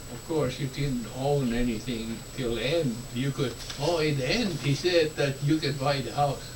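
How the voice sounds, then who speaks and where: A man with an Estonian accent and a fairly high pitch at a moderate pace, with noticeable background noise. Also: ordinary pitch variation. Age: 70s. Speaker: war survivor. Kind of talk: interview answer.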